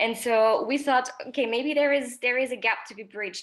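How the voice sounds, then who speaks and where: With a French accent, a woman speaks at a fairly quick pace and with ordinary pitch variation. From France. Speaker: social entrepreneur. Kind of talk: panel discussion.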